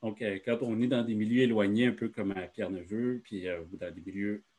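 This man has an unremarkable speaking voice. His pitch is fairly low, with ordinary pitch variation. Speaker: education consultant. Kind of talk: presentation in online meeting.

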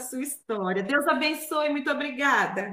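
A woman with a high pitch uses a raised, projected voice at a moderate pace. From interior of São Paulo state, Brazil. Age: 40s. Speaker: gospel singer. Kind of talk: radio interview, testimony.

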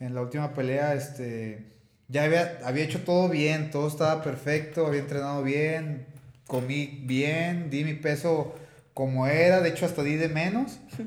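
Speaking at a fairly slow pace, a man with a fairly high voice and ordinary pitch variation is heard amid audible room echo. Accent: Mexican. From Mexico, Tepic. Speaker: mixed martial arts fighter. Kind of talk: interview.

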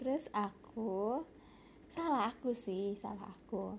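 A woman's nasal, medium-pitched voice with vocal fry, lively intonation and a slow pace

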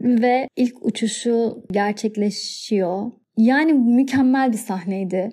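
Hardly pausing at all, a woman with a dark, mellow tone and a fairly high pitch speaks at a very slow pace with ordinary pitch variation. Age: 30s. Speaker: podcast host. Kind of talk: solo podcast monologue. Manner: warm, animated.

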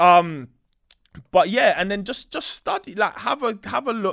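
On a very clean recording with a silent background, a man speaks with a London accent. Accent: London, multicultural London English. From West London. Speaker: recording studio owner. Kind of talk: casual interview. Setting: studio.

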